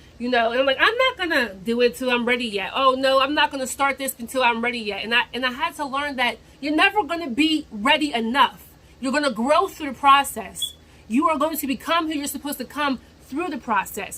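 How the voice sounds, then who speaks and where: A woman speaks fairly quickly in a raised, projected voice at a high pitch, with ordinary pitch variation. Background noise is noticeable. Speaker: vlogger. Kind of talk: motivational talk to camera. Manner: rambling, repetitive phrasing.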